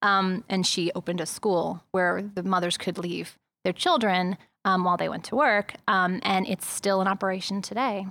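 A woman with an American accent, medium pitch, a bright, sharp tone and fairly even intonation, at a moderate pace in a very clean recording with a silent background. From New York City (Manhattan, East Village). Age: 40s. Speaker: author and journalist. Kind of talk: interview.

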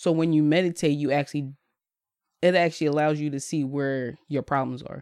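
Speaking at a fairly quick pace, a woman with an American accent uses a very deep, low pitch and monotone, flat intonation. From Bristol, Pennsylvania (Philadelphia area). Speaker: life coach and meditation group leader. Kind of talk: casual chat.

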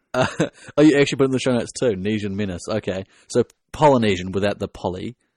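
Talking very fast in a New Zealand accent, a man with a fairly low pitch and ordinary pitch variation sounds dry and close with no echo over a quiet background. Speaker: podcast host. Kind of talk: casual chat.

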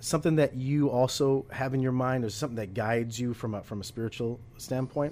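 With an unremarkable speaking voice, a man talks at a fairly quick pace and medium pitch, his intonation fairly even and hardly any pauses between words. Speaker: podcast host. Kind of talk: interview. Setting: home studio. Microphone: echo in the room.

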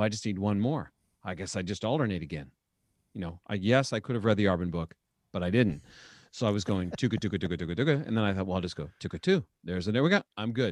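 A man with a fairly low pitch talks very fast, his intonation lively. The sound is dry and close with no echo, on a very clean recording with a silent background. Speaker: podcast host and trumpet player. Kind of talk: casual podcast conversation.

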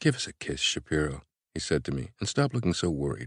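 A strained male voice with vocal fry, very wide pitch swings, and a fairly quick pace. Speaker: audiobook narrator. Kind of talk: dramatic audiobook narration, first-person fiction reading. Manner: conversational, carefully paced, with restrained emotion; intimate, tender, slightly nervous in the love scene.

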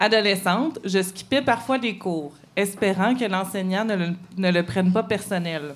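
A woman talks in an ordinary speaking voice at a medium pitch. Her pace is fairly slow, with ordinary pitch variation. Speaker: columnist. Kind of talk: live podcast chat; read-aloud editorial.

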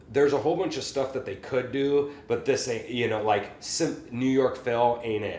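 In a plain, everyday voice, a man with an American accent speaks at a medium pitch with ordinary pitch variation. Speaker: podcast host and private music teacher. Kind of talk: casual chat.

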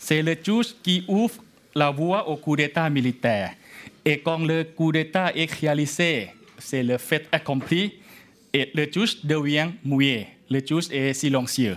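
A man speaks with a Thai accent at a fairly slow pace. His pitch is fairly high, with ordinary variation and very even loudness. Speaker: law scholar. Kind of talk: lecture.

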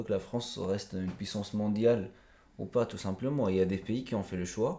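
A man's fairly low, dark, mellow voice at a fairly quick pace with fairly even intonation, on a very clean recording with a silent background. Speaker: author. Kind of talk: interview. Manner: halting.

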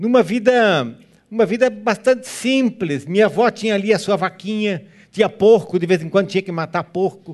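With a German accent, a man talks at a moderate pace and a high pitch, with ordinary pitch variation. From southern Brazil, Joinville, Santa Catarina (German-descended community). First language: German (speaking Portuguese). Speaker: guest pastor. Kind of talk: sermon. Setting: church.

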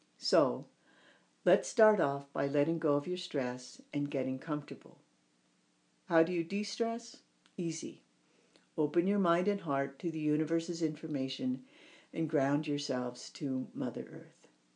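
Long, frequent pauses break up a woman's speech at a moderate pace. Her voice is very deep and low, dark and mellow in tone, with ordinary pitch variation. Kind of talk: guided meditation.

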